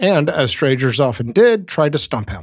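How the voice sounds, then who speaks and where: Delivered at a fairly quick pace, an ordinary speaking voice carries lively intonation. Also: man. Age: 40s. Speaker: podcast co-host. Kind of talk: casual chat.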